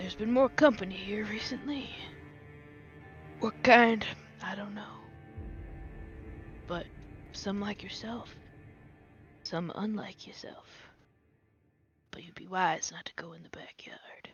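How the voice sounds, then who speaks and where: This put-on character voice is gruff and whispered. It moves at a fairly slow pace with long, frequent pauses. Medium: actual play. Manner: gruff, terse, folksy.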